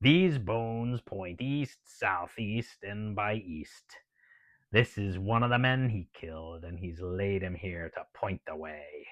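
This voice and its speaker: In a put-on character voice, a man talks at a fairly slow pace and fairly low pitch over a quiet background. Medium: read story. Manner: gruff, bold.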